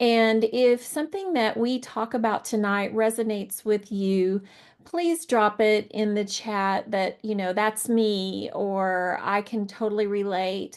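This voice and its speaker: A woman talks in an ordinary speaking voice. Her pitch sits fairly high. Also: ordinary pitch variation, fairly slow pace. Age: 60s. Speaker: professor and panel guest. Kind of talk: online panel talk.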